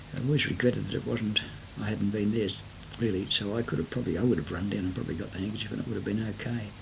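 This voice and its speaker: A man with an Australian accent talks at a very fast pace in a fairly low pitch with ordinary pitch variation. Noticeable background noise and audible room echo fill the recording. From Sydney, Australia. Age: 60s. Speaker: retiree recording life story. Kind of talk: oral memoir. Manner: hesitant, many fillers.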